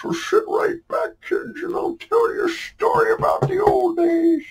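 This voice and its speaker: A put-on character voice from a man, extremely high in pitch, at a moderate pace. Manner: terrible exaggerated impression.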